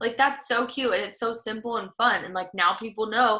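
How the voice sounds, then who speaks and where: Speaking at a fairly quick pace, a woman has a fairly high pitch and a bright, sharp tone. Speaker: social media trainer. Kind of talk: online training session. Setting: video call. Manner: fast; casual, filler-heavy.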